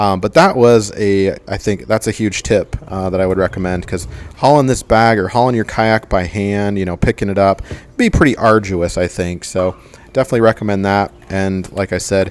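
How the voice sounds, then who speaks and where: A man speaks at a fairly low pitch with ordinary pitch variation in an unremarkable speaking voice. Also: moderate pace. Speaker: DIY outdoor gear youtuber. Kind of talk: product tutorial. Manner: casual with many fillers.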